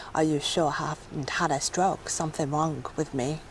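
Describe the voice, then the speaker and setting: A woman's very deep, low voice at a moderate pace, monotone and flat in intonation. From Plymouth, southwest England. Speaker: patient with foreign accent syndrome. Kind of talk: TV interview. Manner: halting.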